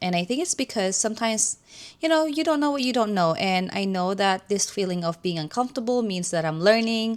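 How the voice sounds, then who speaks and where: On a very clean recording with a silent background, a woman speaks with a non-native accent. Her intonation is lively. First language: not English. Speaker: nurse and doctoral student. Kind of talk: casual vlog update. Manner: hesitant with many fillers.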